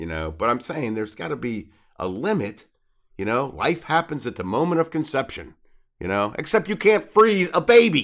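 Speaking at a moderate pace, a medium-pitched man shows vocal fry, very wide swings in pitch and big shifts in loudness. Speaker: podcast co-host. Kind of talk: casual chat. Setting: video call.

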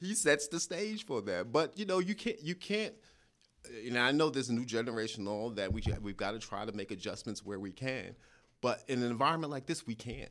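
On a very clean recording with a silent background, a man with a New York accent speaks fairly quickly at a medium pitch, his pitch swinging very widely. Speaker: county administrator. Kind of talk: interview.

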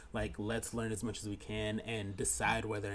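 Here a man talks in an ordinary speaking voice at a moderate pace. His pitch is fairly low and his intonation fairly even. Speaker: podcast co-host. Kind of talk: casual chat. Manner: giggly, playful.

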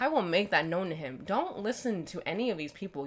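A woman speaks at a fairly quick pace with lively intonation, her pitch fairly low and an unremarkable speaking voice. The recording is very clean, with a silent background. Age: 20s. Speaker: parenting podcast co-host. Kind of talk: casual chat.

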